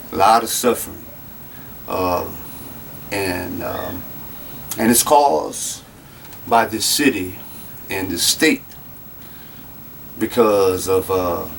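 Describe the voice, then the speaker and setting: Over noticeable background noise, a man speaks at a very slow pace in a Louisiana accent. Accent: Louisiana Southern US. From Louisiana, Lafayette. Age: 40s. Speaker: citizen making a grievance video. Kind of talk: personal testimony. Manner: halting, many fillers.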